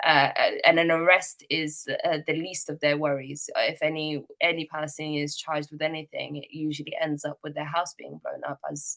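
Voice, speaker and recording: In a strong British accent, a woman speaks with a very deep, low pitch and a flat, monotone intonation at a moderate pace, with hardly any pauses and big swings in loudness, in a dry, close sound with no echo. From UK. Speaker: activist and eyewitness speaker. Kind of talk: testimony. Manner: hesitant, many fillers.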